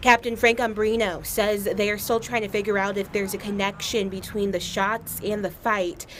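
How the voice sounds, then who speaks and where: A woman with an American accent speaks at a moderate pace and medium pitch, in an unremarkable speaking voice. Her intonation stays fairly even. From Atlanta area, US South. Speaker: TV news anchor and reporter. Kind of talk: news package voice-over.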